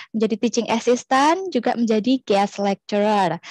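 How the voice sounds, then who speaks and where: The woman's voice comes through as a dry sound with no echo. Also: quiet background. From Indonesia. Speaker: webinar moderator. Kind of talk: formal event hosting. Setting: video call. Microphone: headset.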